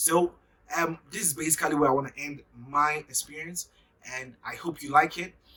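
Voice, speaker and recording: Animated in tone, a man with a Ghanaian accent speaks with long, frequent pauses. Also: fairly high pitch for a man, moderate pace, big swings in loudness. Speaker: YouTuber. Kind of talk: casual vlog monologue.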